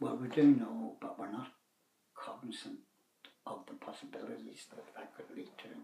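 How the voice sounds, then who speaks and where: Man with a Northern Irish accent, moderate pace, long, frequent pauses and big swings in loudness. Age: 70s. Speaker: retired man sharing views on YouTube. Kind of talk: casual monologue. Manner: halting.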